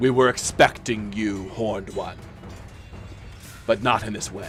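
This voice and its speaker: A man puts on a character voice, fairly low in pitch, at a moderate pace with monotone, flat intonation. His loudness swings widely over clear background noise. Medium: actual play. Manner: calm, measured.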